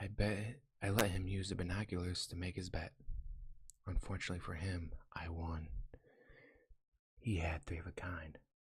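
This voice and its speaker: The voice is soft-spoken and somewhat breathy, with a gentle tone and fairly even intonation. It moves at a moderate pace, broken by long, frequent pauses. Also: man. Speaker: ASMR reader / YouTube channel host. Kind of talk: first-person comedic story narration. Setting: binaural microphone recording. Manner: soft-spoken, gentle.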